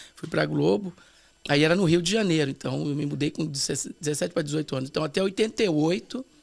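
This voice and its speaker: An ordinary speaking voice, from a man with a fairly high pitch, lively intonation and a fairly quick pace. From Brazil, São Paulo. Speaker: pastor, former TV performer. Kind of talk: casual interview chat.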